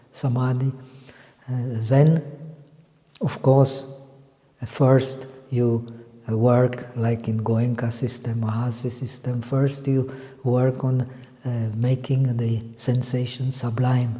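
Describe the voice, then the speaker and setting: At a fairly slow pace with long, frequent pauses, a man with a non-native accent speaks at a medium pitch in a monotone, flat intonation, with audible room echo and noticeable background noise. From Czech Republic. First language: not English. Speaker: meditation teacher. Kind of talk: lecture. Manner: halting.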